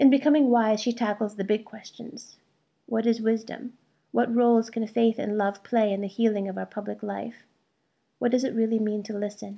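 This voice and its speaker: This woman has a fairly high voice with a dark, mellow tone and monotone, flat intonation. She speaks at a moderate pace against a quiet background. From US, Indian immigrant family from Kerala. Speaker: essayist and webzine host. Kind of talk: scripted narration. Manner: formal.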